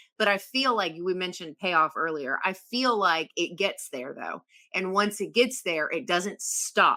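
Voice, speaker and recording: The voice is bright and sharp, speaking at a fairly slow pace in a Southern US accent. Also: woman. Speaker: horror podcast guest panelist. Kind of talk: casual discussion, movie review. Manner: hesitant, many fillers and restarts.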